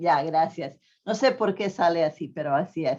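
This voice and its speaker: Over a quiet background, a woman with a non-native accent talks fairly slowly at a medium pitch with ordinary pitch variation. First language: not Spanish (speaking Spanish). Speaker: pension economist speaker. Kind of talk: conference talk. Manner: halting, many fillers.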